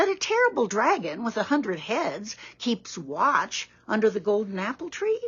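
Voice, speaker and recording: Doing a put-on character voice, a woman speaks at a fairly high pitch with very wide pitch swings. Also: moderate pace. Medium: read story. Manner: gentle, concerned.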